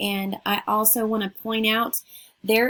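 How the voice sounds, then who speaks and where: Somewhat breathy, the voice proceeds at a fairly slow tempo. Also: woman. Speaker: math teacher. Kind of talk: lecture.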